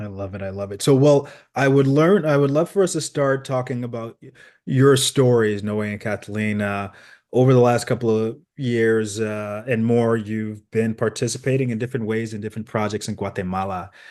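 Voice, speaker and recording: A man with an unremarkable speaking voice talks at a moderate pace and medium pitch, with ordinary pitch variation. His loudness swings widely against a quiet background. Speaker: interviewer of ministry workers. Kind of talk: casual interview.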